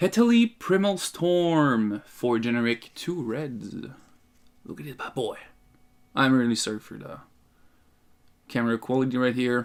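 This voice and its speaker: In a very clean recording with a silent background, a man speaks fairly slowly with lively intonation, long and frequent pauses, and big swings in loudness. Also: medium pitch for a man. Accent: Quebec. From Quebec. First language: French. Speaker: card game youtuber. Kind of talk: casual tutorial. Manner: casual, halting.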